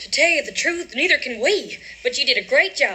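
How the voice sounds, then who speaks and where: A put-on character voice that sounds female swings very widely around a high pitch at a fairly quick pace. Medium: stage play.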